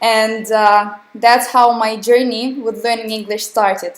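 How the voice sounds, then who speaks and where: In a Russian accent, a woman speaks fairly slowly at a fairly high pitch. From southern Russia, Krasnodar. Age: young. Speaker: English teacher. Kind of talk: online webinar lesson. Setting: live online webinar with chat.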